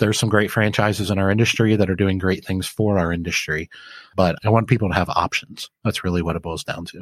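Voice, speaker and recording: On a very clean recording with a silent background, the speech runs at a very fast pace with fairly even intonation. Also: man, fairly low pitch for a man, dry, close sound with no echo. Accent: Midwestern American. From Flint, Michigan. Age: 40s. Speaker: laundromat business owner and author. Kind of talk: podcast interview.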